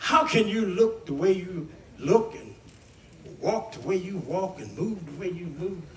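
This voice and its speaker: In an American accent, a man talks at a high pitch with lively intonation. Audible room echo and noticeable background noise come through. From West Virginia, US. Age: 80s+. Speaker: singer and guitarist. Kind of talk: storytelling testimony to a live audience.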